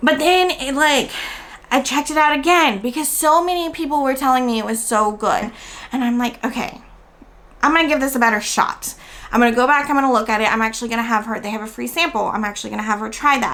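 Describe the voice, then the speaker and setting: Very fast and high-pitched, a woman with an American accent talks with ordinary pitch variation. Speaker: homeschooling vlogger. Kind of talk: casual review vlog.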